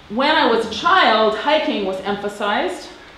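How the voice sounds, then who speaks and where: A woman speaks at a fairly slow pace with ordinary pitch variation. The room echo is audible, and there is light background noise. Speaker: interviewee. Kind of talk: interview answer. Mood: relaxed, reminiscing, wry.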